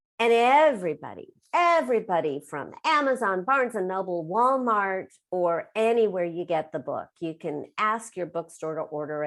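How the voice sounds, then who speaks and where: On a very clean recording with a silent background, a woman with a medium pitch speaks in an animated tone at a moderate pace, with very wide pitch swings and hardly any pauses. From US West Coast, Los Angeles. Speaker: author and business coach. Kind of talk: interview.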